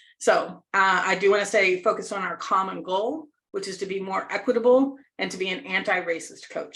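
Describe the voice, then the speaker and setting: An ordinary speaking voice from a woman with an American accent, at a fairly quick pace. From United States. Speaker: leadership coach. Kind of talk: workshop presentation.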